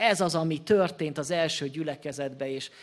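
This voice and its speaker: Speaking at a fairly slow pace, a man has a fairly high pitch, ordinary pitch variation and an ordinary speaking voice. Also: very clean recording, silent background. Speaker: Baptist pastor. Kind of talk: sermon. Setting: church.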